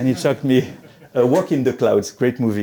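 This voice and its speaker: The speaker is a man with a medium pitch. His voice carries a dark, mellow tone. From Tunisian background. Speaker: motivational speaker. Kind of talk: conference talk. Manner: halting, many repetitions.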